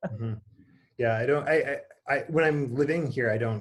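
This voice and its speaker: A man with an Upper Michigan accent speaks at a very fast pace. His voice is somewhat breathy. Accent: Yooper accent, noticed on certain words. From Upper Peninsula of Michigan, Kingsford. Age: young. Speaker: priest. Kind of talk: casual interview chat. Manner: halting, many fillers and repeats.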